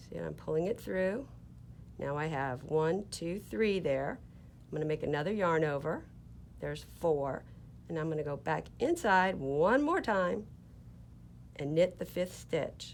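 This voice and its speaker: With an American accent, a woman speaks at a fairly slow pace, leaving long, frequent pauses. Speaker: knitting teacher, yarn shop owner. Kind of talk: tutorial. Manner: slow, deliberate.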